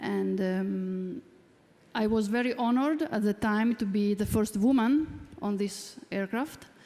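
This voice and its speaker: Speaking at a fairly slow pace with very even loudness, a woman with an Italian accent has a fairly high voice, a dark, mellow tone and ordinary pitch variation. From Italy, Bologna. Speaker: commercial pilot. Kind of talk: panel talk.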